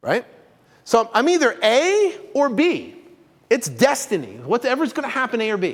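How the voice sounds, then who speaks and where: A man's animated voice at a fairly slow pace, with very wide pitch swings. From Vermont, New England. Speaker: real estate coach. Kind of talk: webinar presentation. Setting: live stream.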